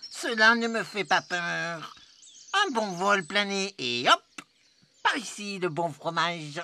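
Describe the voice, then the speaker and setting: A put-on character voice at a middle pitch moves at a fairly slow pace, broken by long, frequent pauses. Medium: read story. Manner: boastful, eager.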